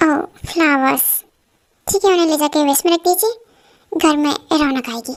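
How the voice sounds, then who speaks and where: A squeaky, put-on character voice from a woman, high-pitched, at a moderate pace with long, frequent pauses. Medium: audio drama. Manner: curt, cold.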